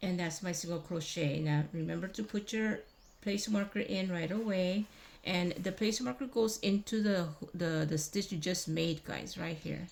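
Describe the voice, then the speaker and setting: A woman's somewhat breathy, medium-pitched voice, with ordinary pitch variation and a moderate pace. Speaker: crochet tutorial host. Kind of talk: tutorial. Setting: old abandoned building. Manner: casual, step-by-step; mumbling to herself while counting stitches.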